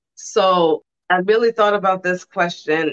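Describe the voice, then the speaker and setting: A plain, everyday voice at a fairly slow pace, with ordinary pitch variation and a dry, close sound with no echo. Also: woman. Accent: American. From Brooklyn, New York, lives in Ohio. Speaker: chef and waffle business owner. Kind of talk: casual interview.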